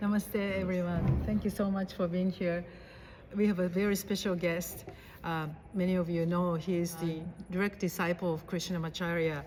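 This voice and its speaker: A woman with a fairly low pitch sounds somewhat breathy, keeping a moderate pace and very even loudness. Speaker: interviewer, yoga host. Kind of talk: interview questions.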